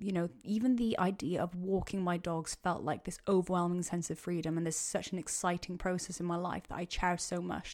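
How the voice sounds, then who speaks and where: On a very clean recording with a silent background, a woman with a Welsh accent and medium pitch talks at a fairly quick pace. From Wales. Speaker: podcast host. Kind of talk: solo Q&A monologue. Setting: home podcast mic. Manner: casual, rambling.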